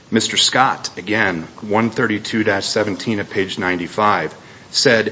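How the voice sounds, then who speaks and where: A man at a medium pitch speaks against noticeable background noise. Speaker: defense attorney. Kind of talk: appellate oral argument. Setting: courtroom. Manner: halting.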